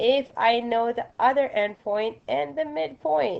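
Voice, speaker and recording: A woman talks with very wide pitch swings. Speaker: math teacher. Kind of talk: recorded lesson.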